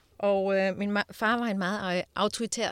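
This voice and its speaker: In a very clean recording with a silent background, a woman speaks at a medium pitch in a monotone, flat intonation. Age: 40s. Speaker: diamond dealer and speaker. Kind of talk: interview. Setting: studio.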